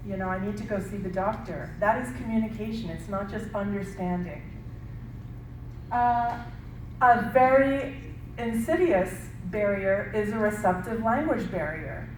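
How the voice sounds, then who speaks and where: With lively intonation and big swings in loudness, a woman at a medium pitch speaks with long, frequent pauses amid audible room echo. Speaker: speech and language therapist. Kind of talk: workshop presentation. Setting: workshop with audience. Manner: slow.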